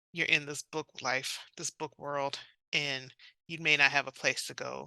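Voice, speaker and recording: A woman with a Southern accent speaks in a very deep, low voice with vocal fry, a bright, sharp tone and monotone, flat intonation. Her loudness swings a lot, and the sound is dry and close with no echo over a quiet background. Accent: Southern, noticeable outside the South. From South Carolina, US South. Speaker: romance author. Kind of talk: interview.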